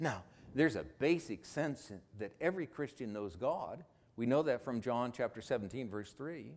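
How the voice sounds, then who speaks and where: Here a man uses an ordinary speaking voice at a medium pitch, with lively intonation. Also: moderate pace. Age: 60s. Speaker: pastor. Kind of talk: sermon. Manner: conversational.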